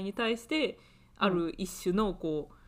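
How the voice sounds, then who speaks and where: In a very clean recording with a silent background, a woman with a normal speaking voice talks at a fairly slow pace and a medium pitch. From Japan. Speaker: podcast co-host, university student. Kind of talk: casual chat.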